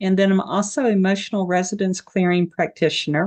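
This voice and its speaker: A woman with an Appalachian accent, fairly low-pitched, at a moderate pace with fairly even intonation, in a dry, close sound with no echo. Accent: mountain Appalachian. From Appalachian Virginia, Tennessee border. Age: 60s. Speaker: health coach. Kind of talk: casual interview chat.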